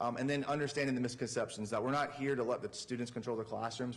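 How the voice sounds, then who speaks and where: A man speaks at a medium pitch. Audible room echo surrounds his voice. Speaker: teacher and coach. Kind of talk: presentation to school board. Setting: public meeting in council chambers. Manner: fast.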